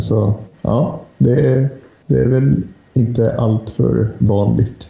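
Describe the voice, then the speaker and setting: A man with a medium-pitched voice speaks at a very slow pace against noticeable background noise. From Lapland, northern Sweden. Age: 30s. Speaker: hockey journalist. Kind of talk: casual chat.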